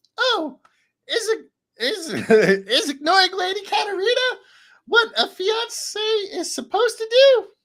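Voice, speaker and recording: A female-sounding put-on character voice speaks at a fairly slow pace with an extremely high pitch. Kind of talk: refined, elegant.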